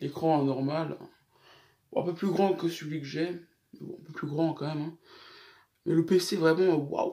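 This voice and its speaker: This man's voice has a dark, mellow tone, a fairly high pitch and fairly even intonation. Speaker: gaming YouTuber. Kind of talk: casual vlog storytelling. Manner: trying to speak slower than usual.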